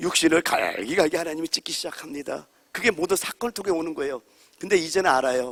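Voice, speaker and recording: With an animated tone and a fairly high pitch, a man talks at a very fast pace in a dry, close sound with no echo. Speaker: pastor. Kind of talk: sermon. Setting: church. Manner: loud.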